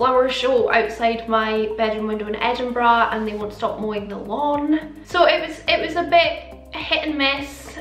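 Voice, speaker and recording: With hardly any pauses, a high-pitched woman speaks with ordinary pitch variation over faint background music, and the room echo is audible. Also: moderate pace, big swings in loudness. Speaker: beauty vlogger. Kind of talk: casual vlog chat. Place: home room.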